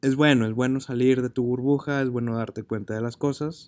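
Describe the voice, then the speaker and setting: At a moderate pace, a man speaks with medium pitch and flat, monotone intonation. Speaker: podcast host and marketing teacher. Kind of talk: personal monologue.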